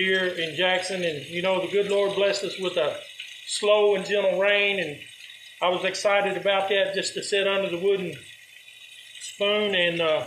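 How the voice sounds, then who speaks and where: A man's high-pitched, monotone voice with flat intonation, audible room echo and light background noise. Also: moderate pace. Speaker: home cooking show host. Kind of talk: casual vlog chat. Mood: warm, hopeful. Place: kitchen. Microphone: phone near.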